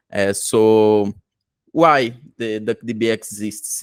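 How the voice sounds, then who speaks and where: Speaking flat and monotone, a man with a Brazilian Portuguese accent has a fairly low pitch. The very clean recording has a silent background and a dry, close sound with no echo. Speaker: tech conference presenter. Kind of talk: technical presentation. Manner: halting, many fillers.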